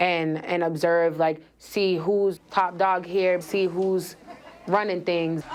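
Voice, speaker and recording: A woman speaks in a fairly low pitch. Her intonation is monotone and flat. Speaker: jail inmate. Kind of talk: documentary interview. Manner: loud.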